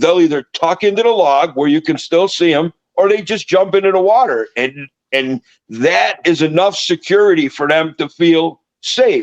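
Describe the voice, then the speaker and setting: A loud, animated man's voice, high-pitched for a man, with ordinary pitch variation at a moderate pace, in a dry, close sound with no echo. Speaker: reptile breeder. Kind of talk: casual chat.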